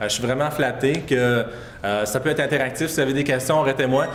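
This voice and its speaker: Audible room echo and noticeable background noise surround the voice. A man talks at medium pitch with ordinary pitch variation. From Quebec, Saguenay-Lac-Saint-Jean. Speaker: public health communications advisor. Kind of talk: conference presentation. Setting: conference stage with audience. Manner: fast; hesitant, many fillers.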